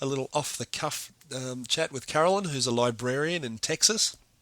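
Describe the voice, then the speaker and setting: The man's bright, sharp tone sits at a fairly high pitch with ordinary pitch variation, recorded with a dry, close sound and no echo. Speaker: podcast host. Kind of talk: casual podcast outro. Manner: casual, with many fillers.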